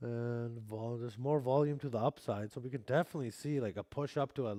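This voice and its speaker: At a fairly quick pace, a man with a slight Canadian accent speaks in a medium pitch with a dark, mellow tone, fairly even intonation, and a dry, close sound with no echo. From Canada, Vancouver. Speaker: futures trading streamer. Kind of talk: live stream commentary. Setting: live stream. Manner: casual.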